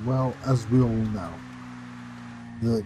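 The voice belongs to a man. Behind him, music is playing. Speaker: gaming commentator. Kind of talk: casual gameplay commentary.

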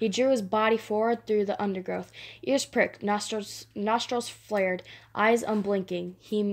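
An unforced reading voice carries the words with fairly even intonation.

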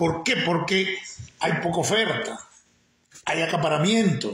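A man's raised, projected voice with a Nicaraguan accent, at a fairly slow pace, with audible room echo. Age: 60s. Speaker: political commentator and former political prisoner. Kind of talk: live-stream political commentary monologue. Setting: live stream. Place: home room. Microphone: phone near.

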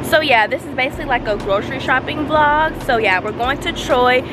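The voice comes through as a dry sound with no echo, with music in the background. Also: woman. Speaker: vlogger. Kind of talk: casual vlog chat. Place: street. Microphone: phone near.

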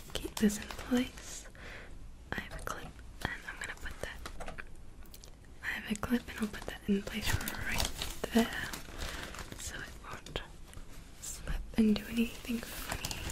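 A woman whispers at a fairly slow pace, with long, frequent pauses and big swings in loudness. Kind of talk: soft-spoken roleplay narration. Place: home room.

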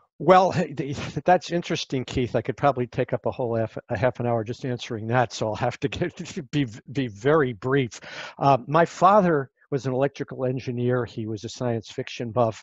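A man with an American accent and a normal speaking voice talks at a fairly quick pace and medium pitch, with a dry sound with no echo and a quiet background. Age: 60s. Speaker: podcast host and futurist; podcast host. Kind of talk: moderated panel discussion. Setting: video call. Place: home room. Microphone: headset.

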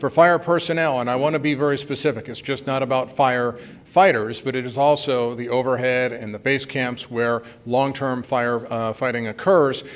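A man talks at a moderate speed, his intonation fairly level. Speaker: conference presenter. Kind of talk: lecture. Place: hall.

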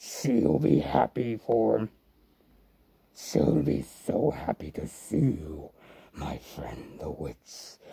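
A man's put-on character voice, very deep and low in pitch, at a very slow pace with long, frequent pauses. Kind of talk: spooky Halloween character monologue. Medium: role play.

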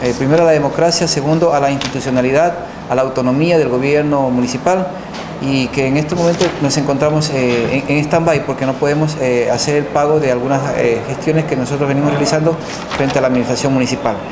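Very fast speech with fairly even intonation amid noticeable background noise. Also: man, very even loudness. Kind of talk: press statement. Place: meeting room.

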